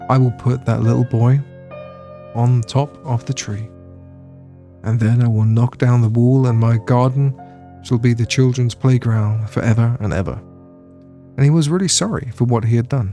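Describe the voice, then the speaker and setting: Soft-spoken and calm, a man with a British accent talks at a medium pitch, leaving long, frequent pauses while music plays in the background. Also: fairly even intonation, moderate pace. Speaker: ASMR storyteller. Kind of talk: read short story. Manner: soft-spoken, calm.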